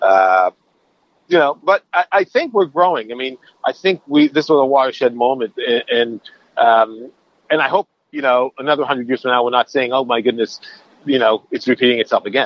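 A man's plain, everyday voice at medium pitch, fairly quick in pace, with ordinary pitch variation. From Canada. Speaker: film director. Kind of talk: interview.

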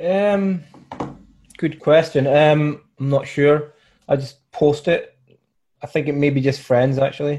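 Somewhat breathy, a man speaks in a dark, mellow tone with fairly even intonation. Long, frequent pauses break up his speech. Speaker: client asking coaching question.

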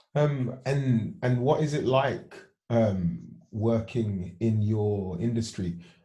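A man's somewhat breathy voice, dark and mellow in tone. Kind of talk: casual interview chat. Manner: friendly, informal, upbeat.

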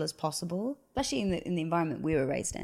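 A woman's fairly low voice at a very fast pace. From England. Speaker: cult survivor and author. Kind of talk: interview testimony.

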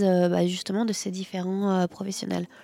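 The woman's voice has a dark, mellow tone. Her sound is dry and close, with no echo. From cold country. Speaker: coffee shop owner. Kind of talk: casual chat. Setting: coffee shop.

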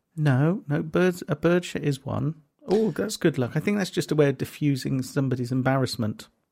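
Somewhat breathy and fairly high in pitch, a man speaks with lively intonation and a dark, mellow tone. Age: middle-aged. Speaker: comedy promoter and podcast co-host. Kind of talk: casual chat.

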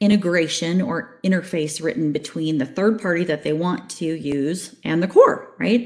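A woman speaks at a moderate pace with a fairly low pitch. It is a normal speaking voice. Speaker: banking technology sales executive. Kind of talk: casual interview.

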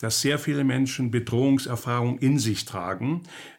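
A man at a medium pitch. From East Germany. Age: 70s. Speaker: psychotherapist and author. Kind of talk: interview. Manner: hesitant, many filler sounds.

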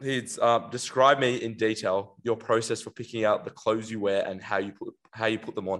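A man with an unremarkable speaking voice talks at a moderate pace and medium pitch. His intonation is fairly even, with hardly any pauses. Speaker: podcast host. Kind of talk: casual chat. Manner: casual, slangy.

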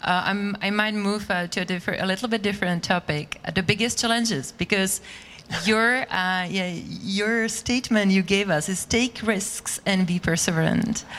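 A woman speaks with a medium pitch at a fairly slow pace. Her intonation stays fairly even. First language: Czech. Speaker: interviewer. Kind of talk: live interview.

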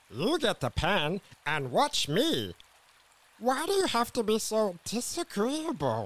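Putting on a cartoonish character voice, a man speaks at a fairly slow pace with a high pitch. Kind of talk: comic cartoon voice. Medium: audio drama. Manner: indignant, then friendly.

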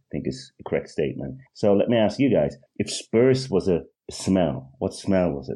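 Speaking at a fairly slow pace, a man with a fairly low pitch, a dark, mellow tone and vocal fry lets his pitch swing very widely. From rural Sweden, Eritrean family. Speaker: football fan podcast guest. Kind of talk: casual chat.

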